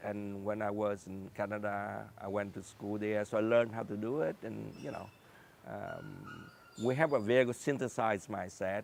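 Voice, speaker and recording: A man speaks with a fairly low pitch. His pitch varies in an ordinary way. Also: moderate pace. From Vietnam. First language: Vietnamese. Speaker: scientist and entrepreneur. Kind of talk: interview. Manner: halting.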